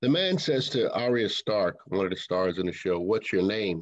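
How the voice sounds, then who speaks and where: At a moderate pace and with lively intonation comes a plain, everyday voice. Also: man. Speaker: minister, sermon speaker. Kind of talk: sermon delivered to a congregation.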